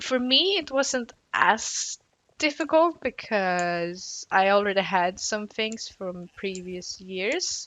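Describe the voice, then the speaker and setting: Her pace is very slow, and her intonation is lively. She is a woman speaking at a medium pitch. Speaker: gaming youtuber. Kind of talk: casual chat.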